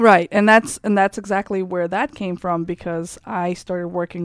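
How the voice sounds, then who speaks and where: In a Russian accent, a woman speaks at a medium pitch with ordinary pitch variation. The sound is dry and close with no echo, on a very clean recording with a silent background. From Kazakhstan. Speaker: entrepreneur and personal coach. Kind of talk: interview. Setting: studio.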